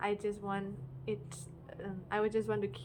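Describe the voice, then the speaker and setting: Noticeable background noise sits behind talking delivered at a moderate pace. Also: woman. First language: non-English. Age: 20s. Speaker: amateur singer-songwriter vlogger. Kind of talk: casual vlog talk to camera. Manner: hesitant, many fillers and restarts.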